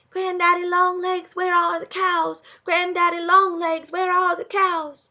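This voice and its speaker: A soft-spoken, put-on character voice with an Appalachian accent, extremely high in pitch, flat and monotone, at a fairly slow pace. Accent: rural Appalachian dialect. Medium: read story.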